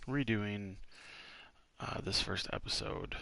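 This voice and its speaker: A man whispers quietly at a very slow pace. Audible room echo surrounds his voice. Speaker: gaming streamer. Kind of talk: casual chat. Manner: quiet, sounds like whispering.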